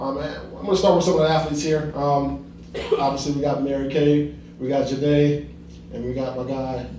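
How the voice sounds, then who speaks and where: There is noticeable background noise and audible room echo. A man with an American accent and a fairly high pitch speaks at a fairly quick pace, with fairly even intonation. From Ohio, Akron. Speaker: panel moderator, former football player. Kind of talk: panel discussion moderation. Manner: fast; repetitive, halting fillers.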